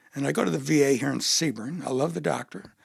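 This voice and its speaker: Talking at a very fast pace, a man with a medium pitch shows vocal fry. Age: 70s. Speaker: retired educator, army veteran and amateur dancer. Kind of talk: casual interview chat.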